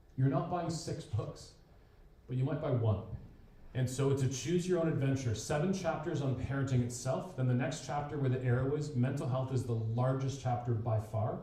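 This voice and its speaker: The recording has noticeable background noise and audible room echo. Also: man, medium pitch for a man, ordinary pitch variation. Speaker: professional speaker and counsellor. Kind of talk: presentation. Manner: fast.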